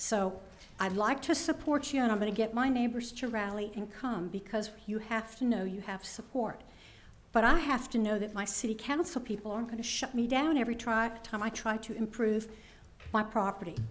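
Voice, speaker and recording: A woman speaks at a fairly quick pace with a fairly high pitch. Her pitch varies in an ordinary way, and the room echo is audible. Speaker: resident speaking at public comment, former city councilwoman. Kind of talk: public comment at a council meeting. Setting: city council chamber. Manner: loud.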